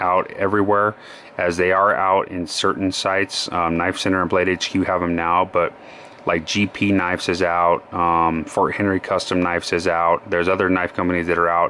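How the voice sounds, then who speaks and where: With an American accent, a man speaks in a very deep, low pitch at a moderate pace, his intonation monotone and flat and his loudness very even, over noticeable background noise. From Colorado. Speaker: knife collector YouTuber. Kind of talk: product review. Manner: hesitant, many fillers.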